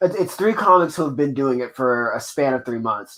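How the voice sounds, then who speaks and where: This man talks at a fairly quick pace. His pitch is fairly high, with ordinary variation. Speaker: comedian. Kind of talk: casual chat. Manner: loud.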